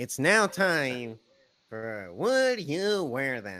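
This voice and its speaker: A put-on character voice, very slow, with very wide pitch swings. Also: man. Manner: silly, funny put-on.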